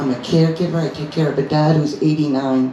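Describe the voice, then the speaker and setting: The speech moves at a moderate pace with fairly even intonation, with audible room echo and noticeable background noise. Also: woman. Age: 60s. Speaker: doctor and cannabis advocate. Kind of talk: rally speech. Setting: live event with audience. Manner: passionate.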